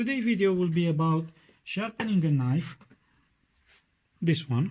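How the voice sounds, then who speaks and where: Speaking in a Romanian accent, a man talks at a fairly slow pace. His voice is high-pitched with lively intonation. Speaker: knife sharpening YouTuber. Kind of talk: tutorial. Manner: halting, many fillers.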